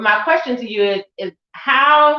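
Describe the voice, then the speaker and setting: In an American accent, a woman with an ordinary speaking voice talks at a fairly high pitch. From United States. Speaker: event host. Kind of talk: panel discussion.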